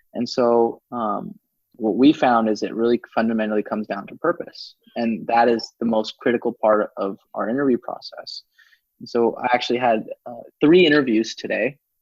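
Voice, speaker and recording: Recorded with a dry, close sound and no echo, a man in an unremarkable speaking voice talks at a moderate pace, with medium pitch and ordinary pitch variation. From United States. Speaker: startup founder. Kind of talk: interview. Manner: many fillers.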